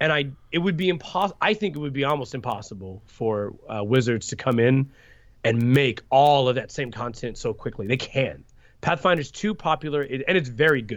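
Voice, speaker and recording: An ordinary speaking voice with lively intonation moves at a moderate pace over a quiet background. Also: man, medium pitch for a man. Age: 20s. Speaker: card game designer. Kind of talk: interview.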